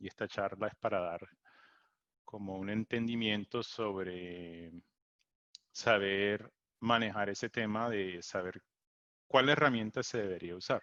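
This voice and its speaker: A man's bright, sharp voice at a fairly slow pace, with long, frequent pauses and fairly even intonation, dry and close with no echo against a quiet background. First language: English (speaking Spanish). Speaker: technical support engineer, presenter. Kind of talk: webinar presentation. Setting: Zoom webinar. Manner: halting, many fillers.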